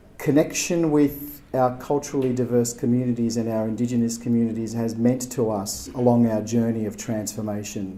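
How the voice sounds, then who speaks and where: Talking at a moderate speed, a man speaks in an Australian accent. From Turkey, then Australia from age ten. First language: Turkish. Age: 40s. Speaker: agency chief executive, keynote speaker. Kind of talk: keynote speech. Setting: gallery event with audience. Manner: halting, many fillers.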